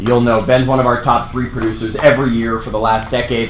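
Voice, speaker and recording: A man with an American accent talks at a very fast pace in a medium pitch. There is audible room echo and noticeable background noise. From US Northeast / Toronto area. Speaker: real estate trainer. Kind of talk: workshop lecture. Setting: classroom with live audience. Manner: animated.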